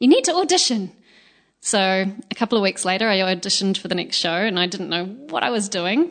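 At a fairly quick pace, a woman with an Australian accent talks at a medium pitch with ordinary pitch variation. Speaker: musical theatre singer and performer. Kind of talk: interview conversation.

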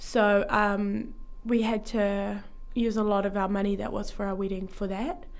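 Speaking in a New Zealand accent, a woman keeps a medium pitch and fairly even intonation. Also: fairly slow pace. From Taranaki, New Zealand. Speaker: guest. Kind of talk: casual radio interview. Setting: studio.

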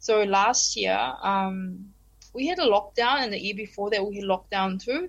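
A woman speaks with a New Zealand accent at a medium pitch. Her pace is moderate, with ordinary pitch variation. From New Zealand (Christchurch), Korean family. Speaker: PhD student and former language teacher. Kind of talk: casual interview chat.

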